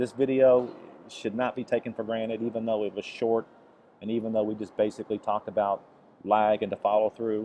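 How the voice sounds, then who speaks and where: Flat, monotone intonation marks this man's medium-pitched voice. He talks at a fairly quick pace. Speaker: golf instructor. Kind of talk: tutorial.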